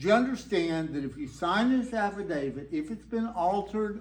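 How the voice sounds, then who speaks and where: At a fairly slow pace, a man talks with lively intonation. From Texas. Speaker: storyteller. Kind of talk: live storytelling performance. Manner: laid-back, whimsical.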